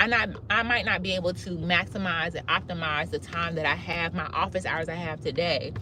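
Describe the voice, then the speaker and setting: A woman talks at a fairly quick pace with hardly any pauses and lively intonation. Her pitch sits fairly low, and there is noticeable background noise. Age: 30s. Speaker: cosmetologist and ADHD life-tips creator. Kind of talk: live video monologue. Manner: casual, conversational with false starts.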